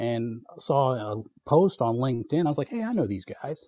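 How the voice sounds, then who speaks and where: The speaker has a North Carolina accent. The tone is dark and mellow. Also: man. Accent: US South (North Carolina). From North Carolina (Fayetteville). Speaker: outside sales representative. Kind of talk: casual chat.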